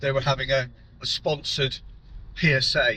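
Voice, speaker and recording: His pitch sits fairly high for a man. The pace is moderate. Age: 60s. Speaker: prostate cancer patient. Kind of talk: personal vlog talk to camera.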